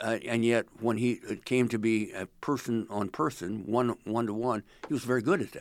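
On a very clean recording with a silent background, a man with an American accent speaks at a moderate pace, medium in pitch and fairly even in intonation. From central Illinois. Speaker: retired political reporter. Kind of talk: interview.

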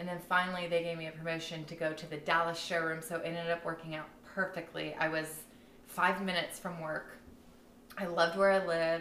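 A woman with an American accent and a fairly low pitch speaks in a monotone, flat way at a fairly quick pace, with audible room echo. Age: 20s. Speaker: podcast guest, host's best friend. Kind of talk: casual chat.

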